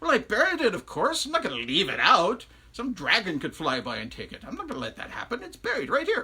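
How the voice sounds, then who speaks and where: In a put-on character voice, the speaker projects loudly at a fairly high pitch and a very fast pace. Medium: read story. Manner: teasing, playful.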